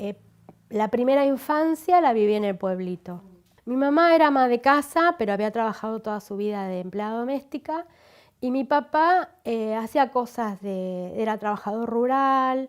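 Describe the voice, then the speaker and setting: A woman's fairly high voice with lively intonation at a moderate pace, an ordinary speaking voice, on a very clean recording with a silent background. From Argentina, Buenos Aires province. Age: 60s. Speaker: interviewee. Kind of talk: life story interview.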